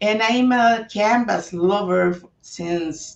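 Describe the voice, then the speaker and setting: This is a woman speaking. She talks with a Spanish accent. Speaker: author. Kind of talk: book launch talk. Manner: hesitant with fillers.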